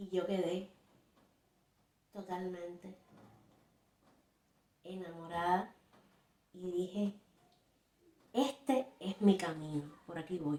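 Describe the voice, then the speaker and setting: The speaker, in a Cuban accent, talks very slowly with long, frequent pauses. The loudness swings widely. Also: woman, medium pitch for a woman, ordinary pitch variation. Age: 50s. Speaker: textile artist. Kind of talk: personal story told to camera.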